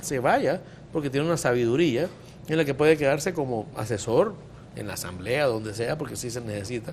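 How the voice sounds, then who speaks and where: A man talks at a very fast pace. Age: 50s. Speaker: physician. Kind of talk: talk show discussion.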